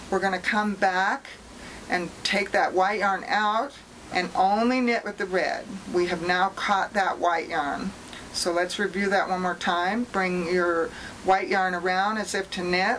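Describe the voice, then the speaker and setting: Noticeable background noise sits behind a woman at medium pitch. She talks at a fairly slow pace with fairly even intonation. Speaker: knitting instructor. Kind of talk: tutorial.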